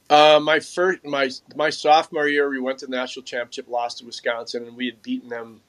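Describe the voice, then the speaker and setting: With an Upper Midwest accent, a man talks at a very fast pace. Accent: Upper Midwest American. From Minnesota, Mounds View. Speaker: former pro hockey player and shooting coach. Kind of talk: casual interview.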